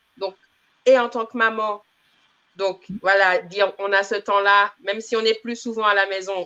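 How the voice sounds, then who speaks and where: Her bright, sharp tone at medium pitch comes at a fairly slow pace as this woman keeps her intonation fairly even. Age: 30s. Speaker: community manager, former medical secretary. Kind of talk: interview.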